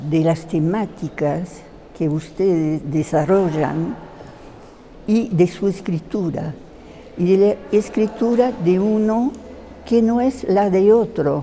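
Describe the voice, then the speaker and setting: A woman's medium-pitched voice with lively intonation, at a very slow pace with long, frequent pauses, against noticeable background noise. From France, Paris. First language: French (speaking Spanish). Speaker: theatre translator. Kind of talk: interview. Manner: halting, many fillers.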